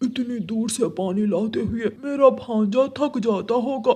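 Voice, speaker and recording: Doing a cartoonish character voice, a man talks at a fairly slow pace with an extremely high pitch. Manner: coaxing, offhand.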